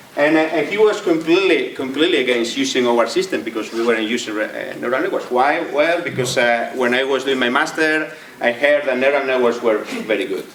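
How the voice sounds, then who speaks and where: Speaking at a fairly quick pace, a man with a medium-pitched voice and ordinary pitch variation is heard amid audible room echo and noticeable background noise. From Spain (Catalonia). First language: Spanish or Catalan. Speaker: AI researcher and entrepreneur. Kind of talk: lecture. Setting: stage with audience. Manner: halting, many repetitions.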